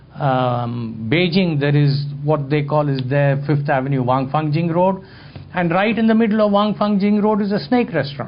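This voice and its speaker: Lively, fairly high-pitched male speech at a moderate pace and very even loudness, with audible room echo. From India. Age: 60s. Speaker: photographer and lecturer. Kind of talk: talk to an audience, storytelling.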